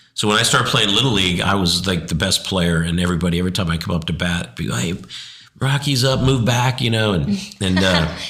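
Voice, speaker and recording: A man with a very deep, low pitch speaks very fast with lively intonation. Room echo can be heard. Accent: American. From Arizona, US. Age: 60s. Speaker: interview guest sharing life story. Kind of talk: faith testimony interview. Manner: halting, many restarts.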